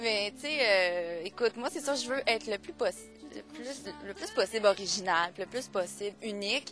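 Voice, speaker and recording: Over music in the background, a medium-pitched woman speaks at a moderate pace with lively intonation and big swings in loudness. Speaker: singer-songwriter. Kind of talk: interview answer. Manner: casual, conversational.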